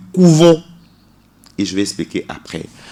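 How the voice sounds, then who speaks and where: This man's pitch moves with ordinary variation as he talks. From Togo. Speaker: singer. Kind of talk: radio interview. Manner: halting, many repetitions.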